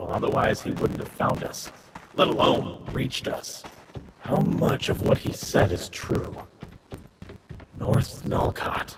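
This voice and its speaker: A man puts on a character voice at medium pitch. His pace is fairly slow. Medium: game stream. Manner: wary.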